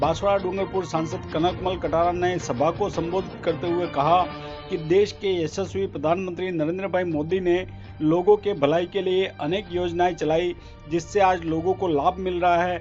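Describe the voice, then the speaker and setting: A man speaks in a high voice with a monotone, flat intonation. Music plays in the background. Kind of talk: news report narration.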